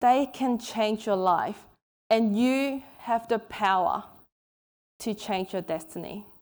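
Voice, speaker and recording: A woman with a non-native accent and a fairly high pitch speaks at a very slow pace with ordinary pitch variation, in a very clean recording with a silent background. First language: not English. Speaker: author and keynote speaker. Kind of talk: keynote talk. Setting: stage with audience.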